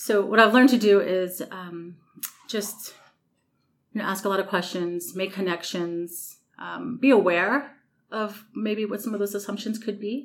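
Speaking at a fairly slow pace, a woman has an ordinary speaking voice at medium pitch, with ordinary pitch variation and big swings in loudness. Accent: American. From New York City. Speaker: maintenance director. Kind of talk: interview.

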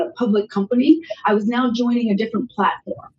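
Somewhat breathy, a woman with an American accent speaks at a fairly high pitch with ordinary pitch variation. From southern Maryland, US. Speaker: sports union executive. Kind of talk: interview.

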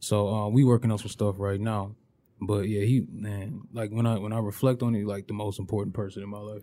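A man with an American accent, a fairly low pitch, a dark, mellow tone and monotone, flat intonation, at a fairly quick pace with big swings in loudness, on a very clean recording with a silent background. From Flint, Michigan. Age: 20s. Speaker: illustrator and rapper. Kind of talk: casual interview chat.

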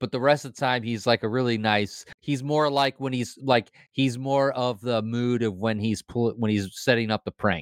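In an ordinary speaking voice, a man talks at a moderate pace and medium pitch with fairly even intonation and hardly any pauses, the sound dry and close with no echo. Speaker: podcast host. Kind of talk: casual chat. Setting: basement studio.

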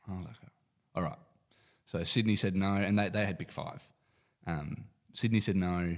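A man's very deep, low voice with an Australian accent, fairly even intonation, a moderate pace and long, frequent pauses. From Perth, Western Australia. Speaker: professional footballer. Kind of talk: casual chat.

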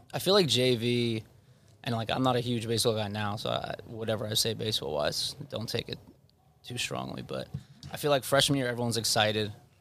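A man with an American accent talks at a fairly quick pace in a medium pitch. Noticeable background noise can be heard. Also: ordinary pitch variation. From Long Island, New York. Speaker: college basketball head coach. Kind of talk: casual interview chat. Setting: studio.

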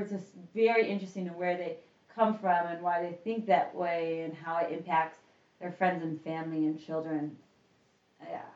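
Speaking at a fairly quick pace, a woman with a fairly low pitch and an unremarkable speaking voice shows ordinary pitch variation and big swings in loudness. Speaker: returning guest. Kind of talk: casual chat.

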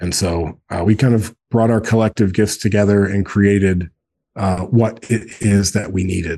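Against a quiet background, a man talks at a moderate pace in a plain, everyday voice, his fairly low pitch held in fairly even intonation. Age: 40s. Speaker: co-founder of a men's brotherhood organization. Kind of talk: casual interview conversation.

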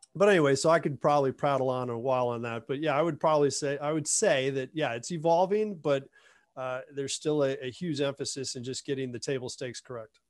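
Against a quiet background, a man talks at a very fast pace in a fairly high pitch. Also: ordinary pitch variation. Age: 50s. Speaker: sales compensation consultant, company executive. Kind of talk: interview with screen-share presentation. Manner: halting, frequent repetitions and fillers.

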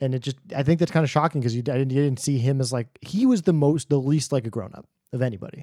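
Talking very fast with an American accent, a man at medium pitch has a dark, mellow tone in a dry, close sound with no echo. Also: ordinary pitch variation. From New York. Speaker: film podcast co-host. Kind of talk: casual chat. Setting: studio recording.

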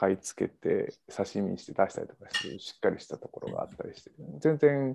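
A man's voice at a fairly quick pace. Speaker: podcast panelist. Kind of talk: casual chat. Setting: video call.

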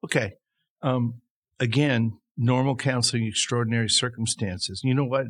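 On a very clean recording with a silent background, a man speaks at a medium pitch and moderate pace with fairly even intonation. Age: 60s. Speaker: pastor and counselor. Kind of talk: casual conversation.

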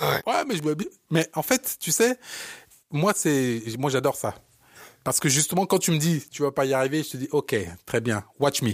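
In a Parisian accent, a man with a fairly high pitch speaks at a fairly slow pace, leaving long, frequent pauses. His tone is animated and his intonation lively, in a dry, close sound with no echo and a very clean, silent background. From born in Africa, raised in Paris. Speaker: podcast co-host, entrepreneur. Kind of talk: casual chat. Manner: halting.

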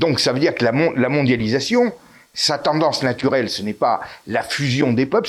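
A man's voice, fairly high in pitch. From Corsica and Italy. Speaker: author and YouTuber. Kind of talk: interview.

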